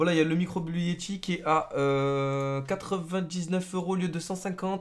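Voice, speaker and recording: Male voice, high-pitched for a man, with fairly even intonation against a quiet background. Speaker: gaming youtuber. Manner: slangy, casual banter with friends. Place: home room.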